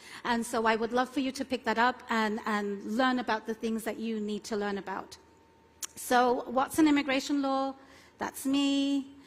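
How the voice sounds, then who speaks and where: A woman's high-pitched voice in a London accent, at a moderate pace with fairly even intonation. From London, England. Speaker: immigration attorney. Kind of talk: conference keynote talk.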